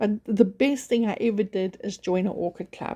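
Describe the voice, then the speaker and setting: The tone is dark and mellow. The voice is somewhat breathy. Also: woman. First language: not English. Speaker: orchid grower YouTuber. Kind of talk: casual vlog talk. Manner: halting, many fillers.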